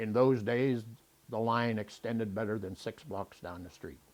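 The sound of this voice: The voice moves at a fairly slow pace with a slightly mellow tone, a slightly husky edge and fairly even intonation. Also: man.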